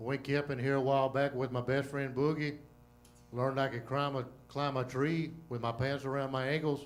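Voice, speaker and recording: Audible room echo surrounds a man's fairly high voice. He speaks at a moderate pace with monotone, flat intonation. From Louisiana. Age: old. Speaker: comedian. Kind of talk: stand-up. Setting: stage with audience.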